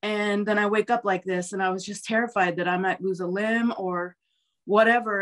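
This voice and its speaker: A woman at a moderate pace, her intonation fairly even, over a quiet background. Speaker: interview guest. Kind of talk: interview answer. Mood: earnest, recalling fear. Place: home room. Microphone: video call.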